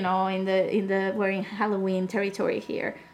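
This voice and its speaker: A woman with a Spanish accent speaks at a medium pitch and a moderate pace. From Spain. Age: 30s. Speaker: podcast guest. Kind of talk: casual chat.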